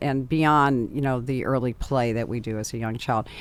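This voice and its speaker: The speaker is a woman with an American accent. She talks at a moderate pace. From US Midwest, Chicago area. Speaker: podcast host. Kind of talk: interview. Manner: halting, many fillers.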